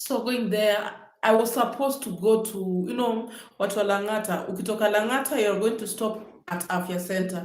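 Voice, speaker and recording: A woman with a Kenyan accent, fairly high pitch and ordinary pitch variation, at a moderate pace amid audible room echo. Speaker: vlogger. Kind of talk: livestream storytelling. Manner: casual, chatty.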